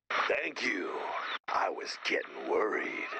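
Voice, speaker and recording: Clear background noise sits behind a man doing a put-on character voice at a fairly slow pace. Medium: video game. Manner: cryptic, halting, speaks in short fragments.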